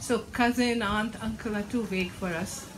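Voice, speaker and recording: A woman speaks with an Indian accent over noticeable background noise, with audible room echo. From India, Bengal. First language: Bengali. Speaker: author and academic. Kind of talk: book launch Q&A. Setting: bookstore event with audience. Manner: halting.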